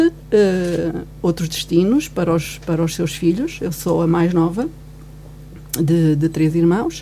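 Amid noticeable background noise, a woman speaks at a very slow pace in a fairly low pitch. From Guarda, Portugal (born in Angola). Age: 50s. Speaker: commentator. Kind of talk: radio panel discussion. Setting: radio studio.

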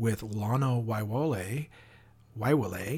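A man speaks in an American accent at a fairly low pitch. His voice is somewhat breathy. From US Pacific Northwest. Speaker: podcast host, crime author. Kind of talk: casual interview.

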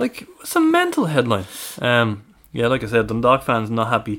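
A man with a Dublin accent. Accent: Irish (Dublin). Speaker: football fan podcast co-host. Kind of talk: casual chat.

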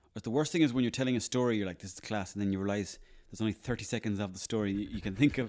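Talking at a very fast pace, a man with an Irish accent has a fairly low pitch and ordinary pitch variation. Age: 30s. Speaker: actor and comedian. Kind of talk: casual chat.

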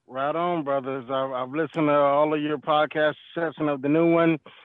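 He is a man with an unremarkable speaking voice and an American accent. His pitch is fairly high and his pace fairly quick. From Detroit, Michigan. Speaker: truck driver, caller. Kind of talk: recorded voice message rant.

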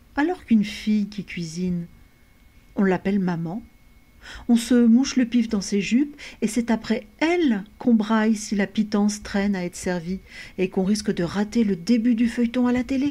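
A woman's somewhat breathy, fairly high voice with ordinary pitch variation, a moderate pace, and long, frequent pauses. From France, Portuguese family. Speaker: theatre association founder. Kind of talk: interview. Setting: video call.

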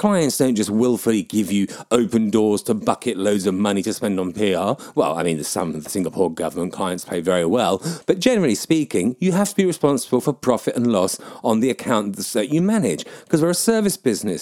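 With a southern English accent, a man speaks fairly quickly at a medium pitch, his voice making very wide pitch swings. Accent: nondescript southern English. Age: 40s. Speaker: podcaster and PR professional. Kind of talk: solo opinion monologue, blog-style podcast. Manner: rambling, opinionated, informal.

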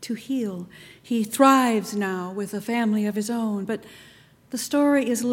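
Plain reading aloud, its pitch rising and falling in an ordinary way

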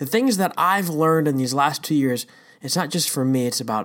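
A man talks at a fairly quick pace. His fairly high voice moves through very wide pitch swings. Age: 30s. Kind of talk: devotional talk. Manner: casual with frequent fillers.

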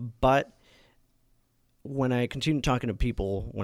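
A man with a Californian accent at a moderate pace, ordinary pitch variation, on a very clean recording with a silent background. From Napa, California. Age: 20s. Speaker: city council candidate. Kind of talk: interview. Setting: studio.

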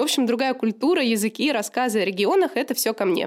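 Someone speaks at a very fast pace with lively intonation. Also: woman. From St Petersburg, Russia. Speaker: editor-in-chief of a media outlet. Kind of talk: scripted self-introduction.

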